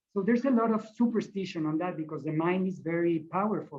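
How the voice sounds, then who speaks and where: A man with a non-native accent talks at a high pitch and a fairly quick pace, with ordinary pitch variation. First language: not English. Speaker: shamanic practitioner. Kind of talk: panel discussion. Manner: halting.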